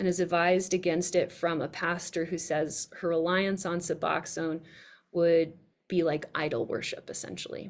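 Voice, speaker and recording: Using a normal speaking voice, a woman talks at a moderate pace in a fairly low register. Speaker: researcher presenting her work. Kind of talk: online presentation.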